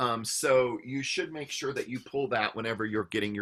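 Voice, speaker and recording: A man speaks fairly quickly at a medium pitch. His tone is bright and sharp, with ordinary pitch variation. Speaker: university writing instructor. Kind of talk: lecture. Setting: recorded online session.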